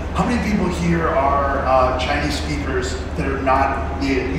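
A man's voice comes through strong room echo and noticeable background noise. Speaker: event host. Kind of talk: stage announcement and intro. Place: hall. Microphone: pa.

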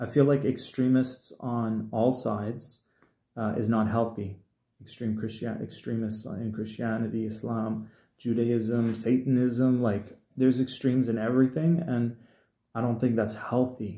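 Over a quiet background, a dark, mellow tone moves at a fairly slow pace, with audible room echo around it. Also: man. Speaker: spiritual healer and musician; video blogger. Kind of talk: solo livestream monologue. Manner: casual, hesitant with fillers. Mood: earnest, emotionally raw. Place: home room. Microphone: phone near.

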